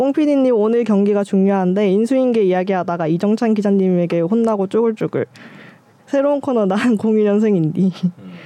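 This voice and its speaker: Ordinary pitch variation runs through a woman's medium-pitched talk in a plain, everyday voice. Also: moderate pace, very even loudness. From Busan, South Korea. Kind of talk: reading aloud listener comments.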